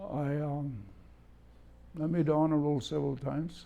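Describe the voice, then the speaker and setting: A man with a Hawaiian accent speaks in a dark, mellow tone. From Kohala, Hawaii. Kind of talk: oral history interview answer.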